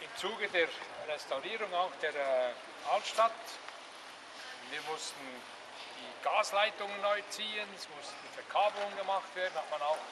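Fairly slow speech over noticeable background noise. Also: man. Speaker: guide explaining the town. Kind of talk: guided tour talk. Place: street. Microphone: camera far.

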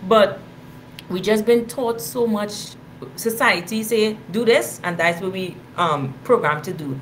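A woman talks with a Caribbean accent and lively intonation. Her pace is fairly slow, with light background noise. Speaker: podcast co-host. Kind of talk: casual chat. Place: home room. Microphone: webcam.

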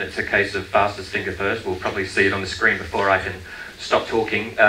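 The speaker has an Australian accent. Light background noise and audible room echo are present. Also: man. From Australia (Queensland). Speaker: tourism marketing director. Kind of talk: conference presentation. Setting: stage with audience. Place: stage.

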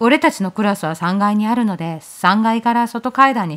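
Lively intonation from a woman with a plain, everyday voice, at a fairly quick pace. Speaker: horror story narrator. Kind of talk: horror story reading.

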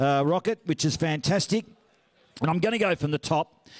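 A man speaking in an Australian accent varies his pitch in an ordinary way. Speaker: auctioneer and master of ceremonies. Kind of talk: event MC announcements. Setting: function room PA. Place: hall. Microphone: handheld.

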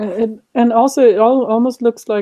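A fairly high-pitched woman's voice with a dark, mellow tone and a Swedish accent. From Sweden. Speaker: YouTube creator. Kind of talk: casual interview chat.

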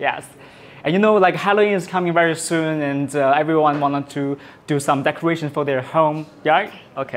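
A man speaks at a moderate pace in a fairly high pitch. His intonation stays fairly even. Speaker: livestream host demonstrating laser products. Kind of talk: livestream product demo and sales pitch. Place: studio. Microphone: lapel.

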